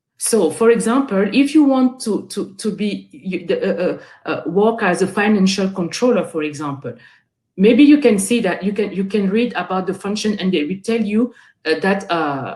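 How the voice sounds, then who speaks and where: A somewhat breathy woman's voice of medium pitch, moderate in pace, with lively intonation. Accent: French. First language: French. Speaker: guest speaker. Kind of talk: webinar talk. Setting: online webinar. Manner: halting, with repetitions and fillers.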